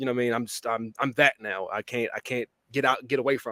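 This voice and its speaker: A man with an American accent has an unremarkable speaking voice at medium pitch, with fairly even intonation and a fairly quick pace. The recording is very clean, with a silent background and a dry, close sound with no echo. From Washington DC area, US. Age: 30s. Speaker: podcast host. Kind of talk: casual interview chat.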